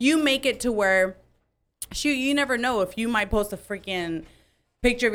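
Here is a woman with a normal speaking voice. She moves at a fairly quick pace, her pitch varying in an ordinary way. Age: 20s. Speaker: upper management worker.

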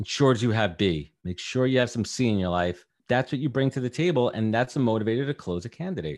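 A man at a fairly low pitch with very wide pitch swings, a very fast pace and a New York accent. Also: quiet background. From Brooklyn, New York. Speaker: podcast host and recruiter. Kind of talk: casual interview chat.

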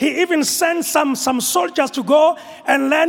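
Against noticeable background noise, a man with a Zulu accent speaks in an extremely high-pitched voice with an animated tone. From South Africa, rural KwaZulu-Natal. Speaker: apostle preaching at a church conference. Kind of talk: sermon. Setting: church with congregation.

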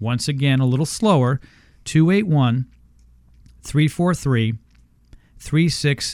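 This man has a fairly high pitch and an American accent. He speaks at a very slow pace in an upbeat tone. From Houston, Texas. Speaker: radio host. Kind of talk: radio ad pitch, read-out promo with repeated phone numbers. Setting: studio. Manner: brisk, upbeat salesman delivery, repeats numbers twice.

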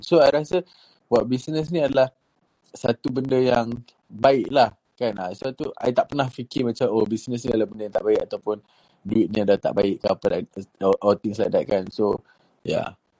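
At a moderate pace, a man with medium pitch and a dark, mellow tone speaks with lively intonation in a dry, close sound with no echo. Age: 20s. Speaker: company CEO. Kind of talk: interview. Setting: live audio chat room. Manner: energetic.

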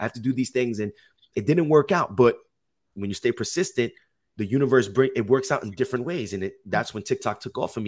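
With an American accent, a man talks in a normal speaking voice at medium pitch with ordinary pitch variation, on a very clean recording with a silent background. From Jersey City, New Jersey. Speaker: health and life coach. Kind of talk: interview, casual storytelling.

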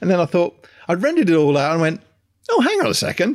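A man with an English accent speaks at a high pitch with very wide pitch swings, on a very clean recording with a silent background. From England. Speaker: podcast co-host. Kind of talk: casual chat.

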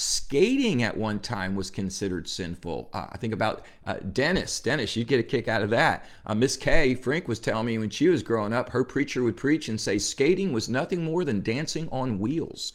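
A man with an American accent uses an unremarkable speaking voice at a medium pitch, with lively intonation. He keeps a moderate pace with hardly any pauses, on a very clean recording with a silent background. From New Jersey, US. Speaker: pastor. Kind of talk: devotional Bible teaching.

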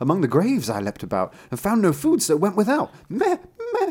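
A man puts on a character voice, pitched high, with very wide swings in pitch. His tone is slightly mellow with a slightly husky edge, and he talks at a moderate pace.

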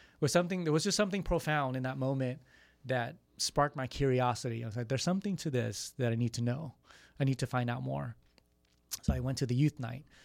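A man with a Californian accent speaks at a very fast pace. The recording is very clean with a silent background, and his medium pitch has ordinary pitch variation. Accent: Californian American English. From San Jose, California. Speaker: youth ministry coordinator. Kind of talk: radio interview.

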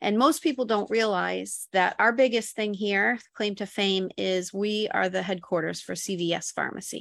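A plain, everyday voice with an American accent, moderate pace, ordinary pitch variation and hardly any pauses, in a very clean recording with a silent background. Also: woman, medium pitch for a woman. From Buffalo, New York. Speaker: real estate broker. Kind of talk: interview.

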